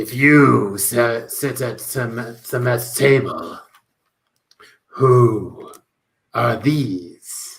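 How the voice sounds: A man's put-on character voice at a medium pitch, very slow, with long, frequent pauses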